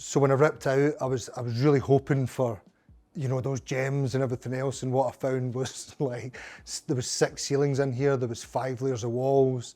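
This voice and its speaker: A man in a Glaswegian accent speaks at a moderate pace with a dark, mellow tone. His intonation is monotone and flat, on a very clean recording with a silent background. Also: medium pitch for a man. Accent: Glaswegian Scottish. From Scotland, Glasgow. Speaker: pub owner. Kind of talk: casual interview. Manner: halting.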